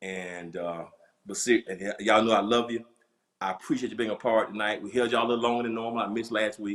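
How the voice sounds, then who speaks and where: Here a man talks in a Southern US accent. He goes at a very fast pace with fairly even intonation. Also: fairly low pitch for a man. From US South. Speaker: pastor. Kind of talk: casual chat.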